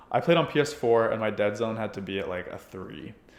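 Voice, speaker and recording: Noticeable background noise behind a man talking at a fairly quick pace. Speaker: gaming YouTuber. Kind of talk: tutorial. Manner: casual, filler-heavy.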